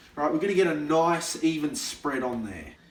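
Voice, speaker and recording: Amid noticeable background noise and audible room echo, a man with a fairly high pitch speaks in an animated tone. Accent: Australian. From Australia. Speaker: comedy video host. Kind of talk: comedic tutorial skit.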